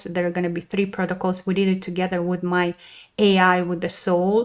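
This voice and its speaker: A woman speaks at a medium pitch. Her intonation is flat and monotone. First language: Russian. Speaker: spiritual wellness podcaster. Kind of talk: casual podcast monologue. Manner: halting, many fillers.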